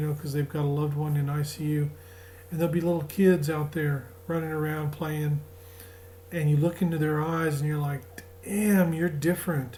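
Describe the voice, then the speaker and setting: A man with a strong Southern US accent speaks at a moderate pace in a fairly high voice, his intonation fairly even, with audible room echo. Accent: Southern US, returned strongly. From US South. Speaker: spiritual group leader. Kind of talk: spiritual talk. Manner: casual, halting.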